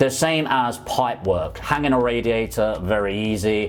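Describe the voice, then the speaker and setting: A London accent with ordinary pitch variation, music in the background. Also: man. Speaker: property investor YouTuber. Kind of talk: casual explainer vlog. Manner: conversational.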